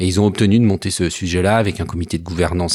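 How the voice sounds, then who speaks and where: A man talks at a very fast pace with very deep, low pitch. The recording is very clean, with a silent background. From Savoie. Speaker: advertising professional, former citizen assembly member. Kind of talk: interview testimony. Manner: animated.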